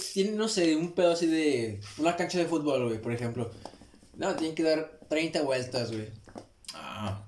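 A man's fairly high voice with lively intonation at a fairly slow pace, with audible room echo and noticeable background noise. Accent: Mexican. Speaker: podcast co-host. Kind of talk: casual chat. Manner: animated.

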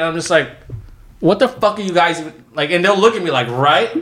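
A man talks at a fairly quick pace with very wide pitch swings over noticeable background noise. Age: 20s. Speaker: friend of the host. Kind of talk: casual chat. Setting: studio.

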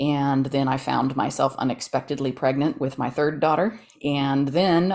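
This woman has a very deep, low voice with ordinary pitch variation and an American accent. She talks at a moderate pace. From Texas, Dallas. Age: 40s. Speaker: novelist. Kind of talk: interview.

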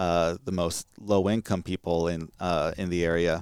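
The sound is dry and close with no echo as a man talks with an American accent. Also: very clean recording, silent background. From California. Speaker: professor. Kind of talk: interview. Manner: halting.

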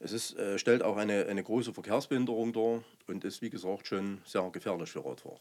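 Pitched at a medium level, a man with a normal speaking voice goes at a fairly quick pace, his pitch varying in an ordinary way. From Saxony, Zwickau district. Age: 50s. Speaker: local politician and roofer. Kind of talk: podcast interview.

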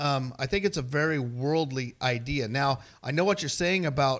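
Using a normal speaking voice, a man speaks at a moderate pace with a fairly high pitch and ordinary pitch variation on a very clean recording with a silent background. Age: 50s. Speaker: mechanic and father of a host. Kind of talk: casual chat.

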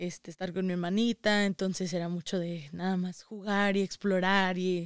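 The recording is very clean and dry, close with no echo, with a silent background. A woman speaks at a medium pitch and moderate pace in a flat monotone. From Saltillo, Coahuila, northern Mexico. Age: young. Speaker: daughter of migrants. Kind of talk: interview.

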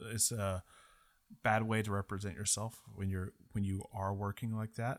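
Recorded very cleanly with a silent background, a man with an American accent talks at a fairly slow pace and a fairly low pitch, his intonation fairly even. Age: 30s. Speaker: podcast host, former cruise ship worker. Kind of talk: casual chat.

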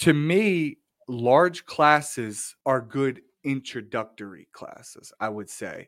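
In a very clean recording with a silent background, a man uses a plain, everyday voice at medium pitch with ordinary pitch variation. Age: 30s. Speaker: podcast host, scalp micropigmentation artist. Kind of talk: casual interview chat.

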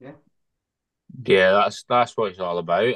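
Recorded dry and close with no echo, a man speaks in a Lancashire accent. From Bolton, northern England. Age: 20s. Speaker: professional boxer. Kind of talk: casual chat. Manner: halting.

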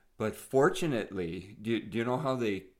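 A man with a Northern Ontario accent speaks with ordinary pitch variation. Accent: Canadian (Northern Ontario). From Northern Ontario, Sault Ste. Marie. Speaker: podcast co-host. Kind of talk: casual chat.

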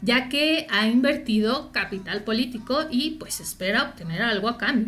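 In a Mexican accent, a woman speaks in a high pitch with an animated tone and lively intonation. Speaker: youth explainer podcast host. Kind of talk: casual explainer monologue.

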